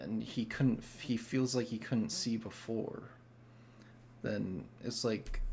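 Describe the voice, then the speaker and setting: Speaking very slowly with long, frequent pauses, a man uses a medium pitch with vocal fry and ordinary pitch variation. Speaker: music reaction youtuber. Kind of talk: casual reaction commentary. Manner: halting, many fillers.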